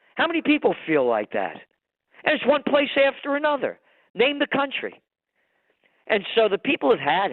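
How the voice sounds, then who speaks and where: A man talks in a New York accent at an extremely high pitch. His intonation is lively, broken by long, frequent pauses. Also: moderate pace. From New York City (Bronx). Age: 70s. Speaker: trend forecaster and publisher. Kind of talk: interview. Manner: animated; halting, repeats words.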